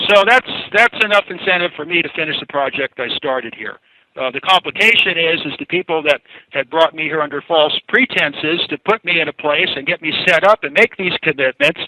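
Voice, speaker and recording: With an unremarkable speaking voice, a man talks fairly quickly at a fairly high pitch with ordinary pitch variation. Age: 60s. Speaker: inventor. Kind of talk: interview. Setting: radio show.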